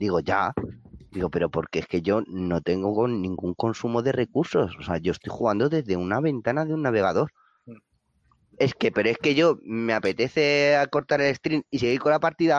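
This man talks at a moderate pace and medium pitch, with very wide pitch swings. The sound is dry and close, with no echo. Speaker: gamer. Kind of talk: casual chat.

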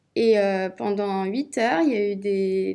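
A woman speaks at a medium pitch in a dark, mellow tone, keeping her intonation fairly even. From Brittany, Rennes. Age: 20s. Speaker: entrepreneur. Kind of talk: interview.

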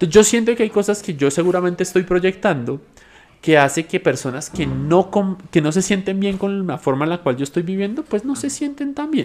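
Pitched high, a man talks at a fairly quick pace with very wide pitch swings. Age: 20s. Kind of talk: podcast interview testimony.

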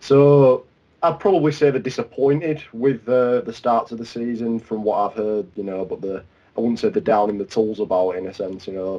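A man speaks at a medium pitch with a Yorkshire accent. His intonation is lively. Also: moderate pace. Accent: Yorkshire (Leeds). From Leeds, northern England. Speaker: Liverpool fan. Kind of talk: casual football chat.

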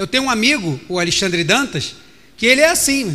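Speaking in a Brazilian accent, a man projects a raised, bright, sharp voice with lively intonation and an animated tone at a moderate pace. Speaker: pastor. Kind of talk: sermon.

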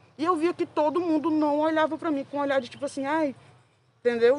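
A woman is speaking. Her pace is very fast. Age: 20s. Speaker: pedagogy student and rock scene fan. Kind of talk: podcast interview.

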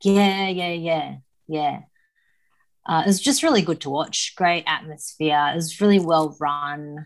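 A woman speaks with an Australian accent at a fairly low pitch and a fairly slow pace. Her intonation is fairly even, and the recording is very clean with a silent background. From Sydney, Australia. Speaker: powerlifter and personal trainer. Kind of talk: casual chat.

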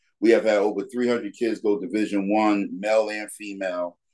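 Speaking in a plain, everyday voice with an American accent, a man keeps a fairly low pitch and a fairly slow pace. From New York (Bronx). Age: 40s. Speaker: basketball league founder. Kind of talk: casual interview.

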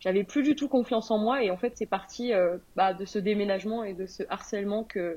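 A woman talks in a plain, everyday voice at a moderate pace. Her medium pitch shows ordinary variation. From France. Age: 20s. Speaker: entrepreneur. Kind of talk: interview.

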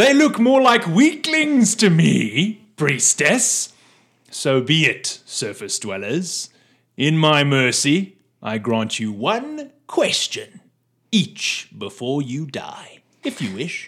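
Through a gruff, put-on character voice, a man talks at a fairly high pitch and very slow pace in a very clean recording with a silent background. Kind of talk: haughty, grand. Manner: gruff, grunting, scornful.

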